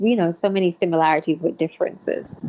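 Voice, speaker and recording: A woman with a Kittitian accent speaks in a fairly low voice with ordinary rise and fall in pitch. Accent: Kittitian Caribbean English. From St. Kitts. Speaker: guest. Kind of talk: casual interview conversation.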